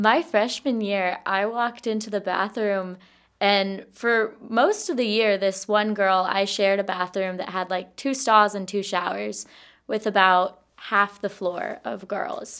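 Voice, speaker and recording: In a very clean recording with a silent background, a woman with an ordinary speaking voice talks at a fairly slow pace, medium in pitch, with fairly even intonation. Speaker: college student guest host. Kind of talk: casual chat.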